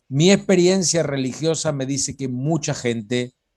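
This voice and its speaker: A man has a normal speaking voice. He speaks at a moderate pace. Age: 60s. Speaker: religious studies lecturer. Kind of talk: informal talk on biblical topics.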